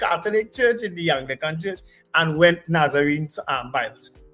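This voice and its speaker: A man's voice sits at a high pitch, his intonation lively throughout. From Trinidad, St. James. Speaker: radio co-host. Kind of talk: talk radio commentary. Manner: loud; passionate.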